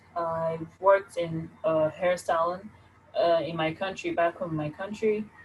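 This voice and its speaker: A woman's fairly low voice at a fairly slow pace, with fairly even intonation and music in the background. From Nigeria. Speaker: job seeker. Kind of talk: mock job interview answer.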